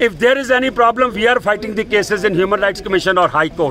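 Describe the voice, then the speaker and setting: A man with a high pitch and ordinary pitch variation uses a raised, projected voice, recorded with a dry sound with no echo and light background noise. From India (Delhi). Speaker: Sikh community activist. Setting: outdoors at a protest outside an embassy. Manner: indignant and confrontational, piling up accusations and demands; halting with fillers and repetitions, then punchy defiant short sentences. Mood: angry, defiant. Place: street. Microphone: phone near.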